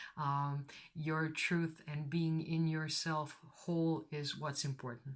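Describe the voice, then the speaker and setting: A woman with a non-native accent speaks at a very slow pace in a very deep, low voice. Her intonation is monotone and flat, and the recording is very clean with a silent background. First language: not English. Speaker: tarot reader. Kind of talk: tarot reading to camera. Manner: casual, hesitant.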